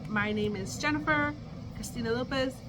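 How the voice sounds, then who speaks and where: A woman's moderate-paced speech carries audible room echo and noticeable background noise. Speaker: kindergarten teacher and vlogger. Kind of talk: casual vlog; video call meeting. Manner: whispering.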